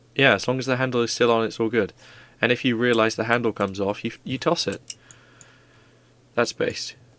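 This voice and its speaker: A quiet man speaks at a fairly quick pace with fairly even intonation, leaving long, frequent pauses. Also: medium pitch for a man. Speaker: streamer. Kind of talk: casual chat. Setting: livestream.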